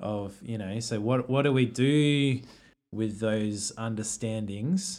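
The delivery is very slow, in an Australian accent. Pitch varies in an ordinary way. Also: man, medium pitch for a man. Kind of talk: casual chat about theology. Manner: halting.

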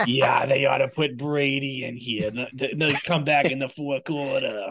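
A man does a put-on character voice, pitched fairly high, in a strong Massachusetts accent. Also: moderate pace, fairly even intonation. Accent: thick Massachusetts. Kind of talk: casual, talking football.

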